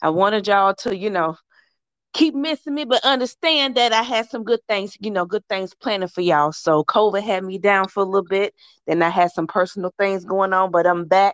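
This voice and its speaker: The woman speaks at a medium pitch and a fairly quick pace, with lively intonation and an animated tone. The sound is dry and close with no echo, over a quiet background. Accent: Southern US. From US South. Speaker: fitness trainer and podcast host. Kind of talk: casual chat.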